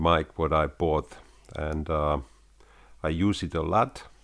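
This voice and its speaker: A man talks very slowly, captured on a very clean recording with a silent background. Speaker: YouTuber, home recording hobbyist. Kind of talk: casual talk to camera. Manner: halting, many fillers.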